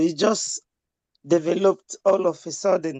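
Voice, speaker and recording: A woman with a Nigerian accent speaks at a fairly slow pace in a dark, mellow tone. The sound is dry and close with no echo, over a quiet background. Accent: Nigerian Igbo English. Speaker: community member, co-host. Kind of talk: speech at online town hall.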